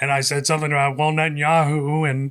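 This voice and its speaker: In a monotone, flat intonation, a man talks with a slight Southern accent. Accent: slight southern drawl. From US South, South Carolina. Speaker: radio producer and filmmaker. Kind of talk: casual chat.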